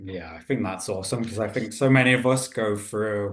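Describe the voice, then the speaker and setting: Audible room echo surrounds a man speaking with a British accent. His pace is moderate and his intonation fairly even. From Britain. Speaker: podcast host. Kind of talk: interview.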